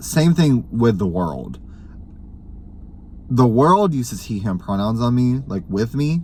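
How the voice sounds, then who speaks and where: A man speaks at a fairly slow pace with very wide pitch swings. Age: 20s. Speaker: vlogger. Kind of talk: casual chat.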